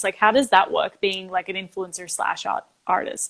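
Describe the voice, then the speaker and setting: An Australian accent with fairly even intonation, on a very clean recording with a silent background. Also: woman. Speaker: singer and show host. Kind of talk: casual interview chat. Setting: live video stream.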